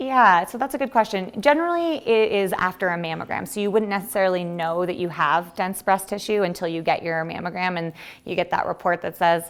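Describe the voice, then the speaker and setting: Very clean recording with a silent background of a medium-pitched woman, fairly quick pace, hardly any pauses and ordinary pitch variation. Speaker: physician. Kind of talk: health lecture with Q&A. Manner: fast; halting with frequent fillers.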